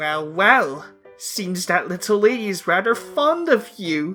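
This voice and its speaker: Over faint music in the background, a man in a put-on character voice speaks at a high pitch and a fairly slow pace. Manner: theatrical, mock-polite.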